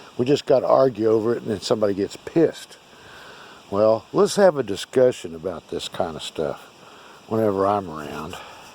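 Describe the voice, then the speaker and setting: Lively intonation in an American accent at a fairly quick pace, with noticeable background noise. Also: man, fairly low pitch for a man. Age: 60s. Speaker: artifact collector. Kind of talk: casual video monologue. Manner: casual, halting with fillers.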